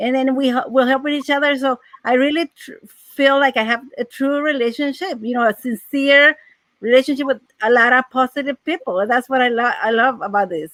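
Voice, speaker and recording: With a Mexican accent, a woman talks at a fairly quick pace in a high pitch with ordinary pitch variation, the sound dry and close with no echo. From Mexico. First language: Spanish. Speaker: financial aid adviser. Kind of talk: casual chat.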